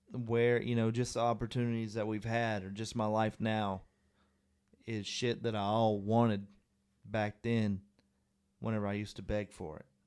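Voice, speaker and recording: With long, frequent pauses, a man speaks at a moderate pace and fairly low pitch in a monotone, flat intonation. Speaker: podcast co-host. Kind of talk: casual chat.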